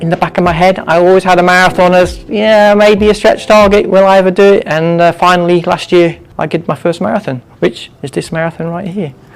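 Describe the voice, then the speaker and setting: A man's high-pitched voice at a fairly quick pace, with noticeable background noise. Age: 60s. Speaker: physio clinic client, amateur marathon runner. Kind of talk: interview testimony.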